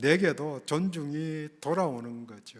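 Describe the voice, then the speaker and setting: A man's fairly high voice with a slight Gyeongsang accent, lively intonation and a very slow pace. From Gyeongsang region, South Korea. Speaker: pastor. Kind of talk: sermon.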